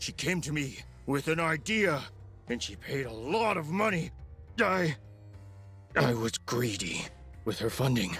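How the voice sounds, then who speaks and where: A man performs a put-on character voice while clear music plays in the background. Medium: video game. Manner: stammering, hesitant.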